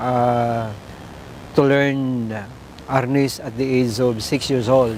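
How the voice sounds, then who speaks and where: A man talks very slowly in a monotone, flat voice at a medium pitch. The recording has audible room echo and noticeable background noise. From Philippines, Negros Occidental. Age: 50s. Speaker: martial arts master. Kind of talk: documentary interview. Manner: halting.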